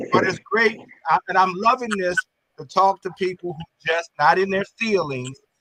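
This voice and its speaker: A man with a high pitch uses a raised, projected voice at a moderate pace. His tone is bright and sharp, with ordinary pitch variation and a dry, close sound with no echo. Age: 60s. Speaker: boxing commentator. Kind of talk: panel discussion.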